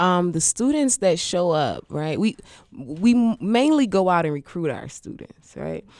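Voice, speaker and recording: A woman with an American accent and a plain, everyday voice, fairly low in pitch, with lively intonation at a fairly slow pace, on a very clean recording with a silent background. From Washington D.C. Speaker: non-profit founder. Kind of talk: interview.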